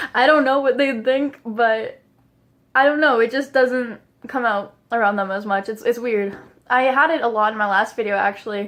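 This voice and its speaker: A mumbling woman at a moderate pace and fairly high pitch, ordinary pitch variation, against a quiet background. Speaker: vlogger. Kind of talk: casual vlog monologue. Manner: casual, filler-heavy.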